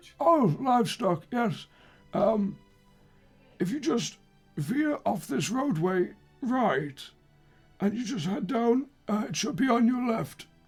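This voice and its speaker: A put-on character voice, raspy and fairly high in pitch, moves at a fairly slow pace with long, frequent pauses. Faint music plays in the background. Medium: actual play. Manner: slow, rambling, hesitant.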